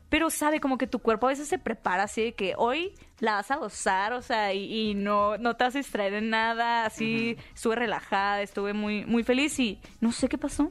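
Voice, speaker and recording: A woman with a fairly high pitch speaks at a moderate pace with hardly any pauses and ordinary pitch variation, in a very clean recording with a silent background. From northern Mexico, Hermosillo, Sonora. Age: 20s. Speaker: content creator and activist. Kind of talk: interview.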